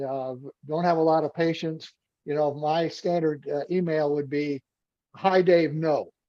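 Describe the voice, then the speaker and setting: This man's voice sits at a fairly high pitch with a dark, mellow tone. His intonation stays fairly even. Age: 70s. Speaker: podcast host, executive peer group chair. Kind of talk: podcast interview.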